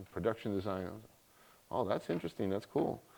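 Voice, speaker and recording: A man's fairly low-pitched voice with an American accent. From US, Miami, Florida (Cuban family). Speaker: cyber security expert, guest lecturer. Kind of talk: guest lecture. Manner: casual, storytelling.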